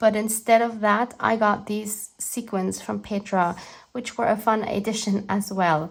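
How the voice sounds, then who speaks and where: In a German accent, the voice comes out somewhat breathy, fairly slow and monotone, with flat intonation. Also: woman, fairly high pitch for a woman. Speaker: art journaling YouTuber. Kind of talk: scripted narration.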